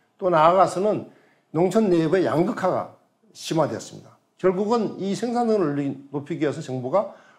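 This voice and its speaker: Against a quiet background, a man with a high pitch talks at a fairly quick pace with very wide pitch swings. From South Korea. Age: 70s. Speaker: professor emeritus, rural economist. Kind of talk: lecture and panel discussion. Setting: studio. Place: studio. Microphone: lapel.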